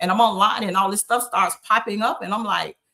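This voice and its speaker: A woman's medium-pitched voice in an Arkansas accent, with fairly even intonation. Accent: Southern US (Arkansas). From Arkansas Delta, US South. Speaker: town mayor. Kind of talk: interview on a live stream. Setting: video call live stream. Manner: halting, stuttering.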